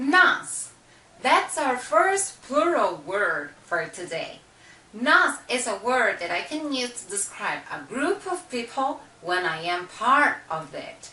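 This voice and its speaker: Speaking very slowly with a Brazilian accent, a woman's high voice makes very wide pitch swings. Audible room echo and noticeable background noise surround her. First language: Portuguese. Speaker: language teacher. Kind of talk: tutorial.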